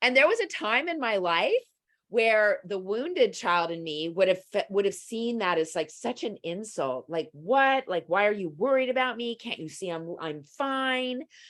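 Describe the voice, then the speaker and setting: A woman speaks at a moderate pace and a fairly high pitch. Her pitch swings very widely over a quiet background. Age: 60s. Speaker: psychotherapist. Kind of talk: casual chat.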